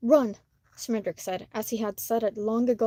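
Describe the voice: Plain reading aloud in fairly even intonation.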